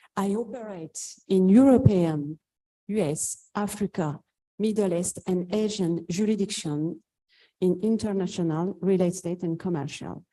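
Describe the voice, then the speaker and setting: Speaking with a French accent at a fairly slow pace, the voice has a dark, mellow tone and ordinary pitch variation. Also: woman, medium pitch for a woman. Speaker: lawyer. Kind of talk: panel introduction.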